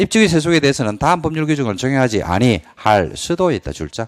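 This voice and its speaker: There is no echo in this dry, close recording of a man whose pitch swings very widely. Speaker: exam prep lecturer. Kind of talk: lecture. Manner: fast; animated.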